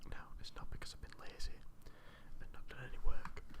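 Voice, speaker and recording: Someone whispers in a Yorkshire accent. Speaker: university student. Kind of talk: ASMR whispered tutorial. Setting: close microphone. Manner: whispered.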